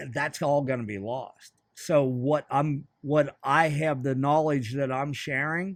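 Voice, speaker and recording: A man's fairly high voice with an American accent, very slow and with hardly any pauses, fairly even intonation, on a very clean recording with a silent background. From central Pennsylvania. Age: 60s. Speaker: fly shop owner. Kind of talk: casual chat.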